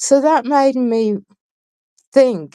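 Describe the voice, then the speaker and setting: The woman's tone is dark and mellow. She talks at a very slow pace. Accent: English. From England. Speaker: guest on a talk show. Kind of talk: interview. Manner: halting.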